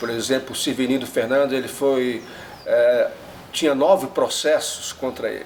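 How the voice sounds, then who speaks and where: Noticeable background noise sits under a man's voice as he talks at a moderate pace. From northeast Brazil coast (Rio Grande do Norte/Paraíba). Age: 70s. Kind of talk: documentary interview testimony. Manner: halting, many filler pauses.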